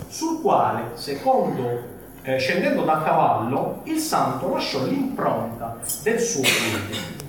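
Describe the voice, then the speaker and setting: Recorded with strong room echo and noticeable background noise, the voice moves at a very slow pace through very wide pitch swings. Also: man. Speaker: journalist. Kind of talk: reading from a novel. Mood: humorous storytelling. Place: shop. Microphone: camera far.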